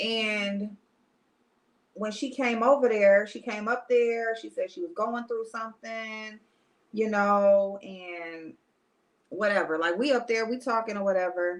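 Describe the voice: A woman at a medium pitch, fairly slow in pace and fairly even in intonation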